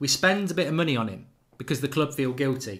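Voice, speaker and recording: With an English accent, a man talks at a fairly quick pace. His intonation is lively. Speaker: football fan channel host. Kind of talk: live stream fan show with callers. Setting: live stream.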